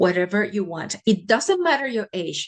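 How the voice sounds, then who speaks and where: The speaker is a woman with a fairly high pitch. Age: 60s. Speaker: physician and holistic healer. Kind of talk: interview.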